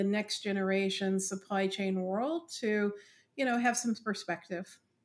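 At a fairly slow pace, a woman talks in an unremarkable speaking voice with medium pitch. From West Virginia. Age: 60s. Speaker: industry analyst. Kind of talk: interview.

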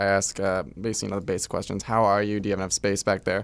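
An American accent from a man at a very fast pace. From Southern California, Orange County. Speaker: rideshare driver. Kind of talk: interview.

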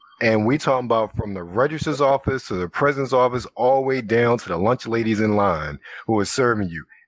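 A man speaks in an ordinary speaking voice at a fairly quick pace with hardly any pauses, using a medium pitch and ordinary pitch variation. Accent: American. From Baltimore, Maryland. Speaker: former college quiz team member. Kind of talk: casual chat.

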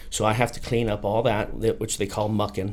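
A man's fairly low voice with an American accent, a plain, everyday voice at a moderate pace. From South Dakota, US. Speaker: fire captain. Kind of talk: casual chat.

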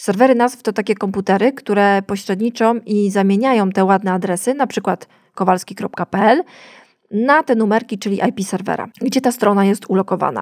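In an unremarkable speaking voice, a woman speaks at a moderate pace and medium pitch with ordinary pitch variation, recorded very cleanly against a silent background with a dry, close sound and no echo. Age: 30s. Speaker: podcast host, web designer. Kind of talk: solo educational podcast.

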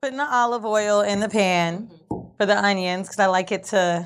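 A woman with an American accent in a normal speaking voice, medium-pitched, at a moderate pace. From Florida (Orlando). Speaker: entrepreneur and podcaster. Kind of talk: casual chat.

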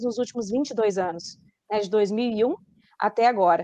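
This woman speaks. Her pace is fairly slow. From Rondônia, Brazil. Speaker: journalist and science communicator. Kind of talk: interview.

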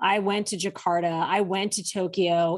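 Against a quiet background, a woman with an American accent speaks at a medium pitch. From Saudi Arabia (American family abroad). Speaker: political aide. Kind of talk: interview conversation. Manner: halting.

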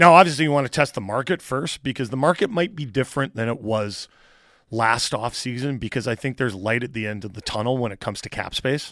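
On a very clean recording with a silent background, a man with a Canadian accent talks very fast with ordinary pitch variation. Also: medium pitch for a man. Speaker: sports radio host. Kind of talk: morning sports radio show. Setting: studio.

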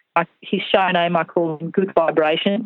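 A woman's medium-pitched voice in an Australian accent, with ordinary pitch variation. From rural New South Wales, Australia. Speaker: show jumping coach. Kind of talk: casual interview.

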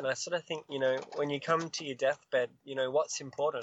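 A man's fairly high voice with an Australian accent. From Australia, Queensland. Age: 20s. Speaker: singer-songwriter. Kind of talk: casual chat.

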